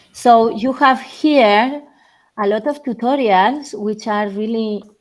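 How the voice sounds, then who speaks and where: The background is silent on this very clean recording. A woman speaks very slowly. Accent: strong Spanish. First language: Spanish. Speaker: remote speaker on geospatial machine learning. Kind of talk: technical talk and Q&A. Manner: halting, many fillers.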